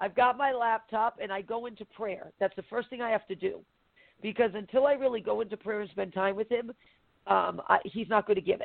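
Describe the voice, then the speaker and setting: Using an ordinary speaking voice, a woman with a fairly high pitch talks at a fairly quick pace with fairly even intonation. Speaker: prophet and show co-host. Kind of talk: casual chat.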